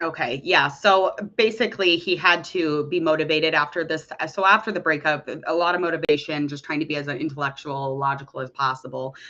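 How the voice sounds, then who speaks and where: A woman with an American accent speaks at a fairly quick pace in a very deep, low voice, her tone bright and sharp and her pitch varying in an ordinary way. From US Midwest. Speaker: tarot reader. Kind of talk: tarot reading. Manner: casual, halting with fillers.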